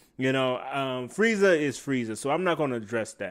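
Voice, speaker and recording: Here a man speaks in an animated tone. His pitch variation is ordinary. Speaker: anime reviewer. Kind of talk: casual video review. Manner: loud.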